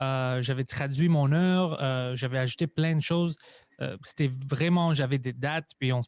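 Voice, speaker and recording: Recorded very cleanly against a silent background with a dry, close sound and no echo, a man with a non-native accent talks fairly slowly at a fairly high pitch and with fairly even intonation. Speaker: stand-up comedian and podcaster. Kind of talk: casual interview chat.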